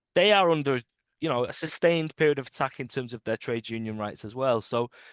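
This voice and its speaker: A man speaks with a British accent at a moderate pace, his pitch varying in an ordinary way. The sound is dry and close with no echo, over a quiet background. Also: long, frequent pauses. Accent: British accent, noticeable. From UK. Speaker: trade union organizer. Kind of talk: interview. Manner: halting, many repetitions and fillers.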